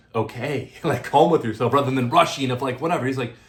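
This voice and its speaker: A man with an American accent sounds somewhat breathy and keeps a fairly even intonation. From US. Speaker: dating vlogger and podcast host. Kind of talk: casual chat. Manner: fast.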